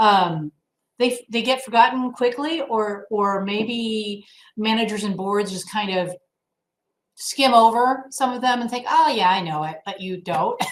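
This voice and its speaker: A woman's fairly high voice with big swings in loudness and ordinary pitch variation. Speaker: HOA attorney presenting a webinar. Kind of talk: webinar lecture. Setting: online webinar with slides. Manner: fast.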